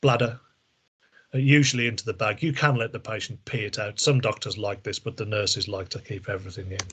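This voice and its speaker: Speaking very fast with an English accent, a man keeps a medium pitch with ordinary pitch variation. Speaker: medical device trainer. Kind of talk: training presentation. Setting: video call.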